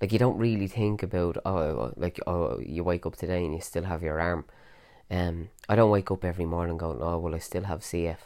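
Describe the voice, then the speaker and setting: Very deep and low, a man's voice carries a dark, mellow tone at a fairly quick pace with ordinary pitch variation in a very clean recording with a silent background. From Ireland, Dublin area. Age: 30s. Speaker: podcaster with cystic fibrosis. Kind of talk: personal monologue. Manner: casual, many fillers.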